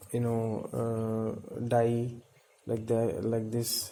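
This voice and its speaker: A man speaks in a medium pitch. The room echo is audible and the background noise noticeable. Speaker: plant hobbyist video creator. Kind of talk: casual show-and-tell tutorial. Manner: hesitant, many filler sounds.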